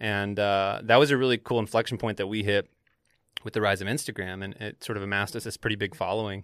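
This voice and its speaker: A man with a fairly low pitch speaks at a very fast pace with fairly even intonation. The sound is dry and close with no echo, in a very clean recording with a silent background. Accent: American. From US South. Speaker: fashion newsletter writer. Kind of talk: casual chat. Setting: studio.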